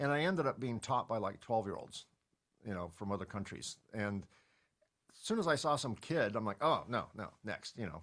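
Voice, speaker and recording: A man's medium-pitched voice, an ordinary speaking voice, at a fairly quick pace with lively intonation. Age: 60s. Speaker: entrepreneur and podcast host. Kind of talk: interview conversation. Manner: casual, conversational with filler words.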